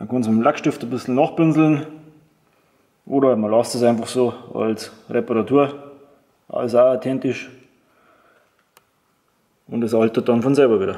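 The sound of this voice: A man speaks at a medium pitch with a dark, mellow tone. He leaves long, frequent pauses. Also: fairly even intonation, moderate pace.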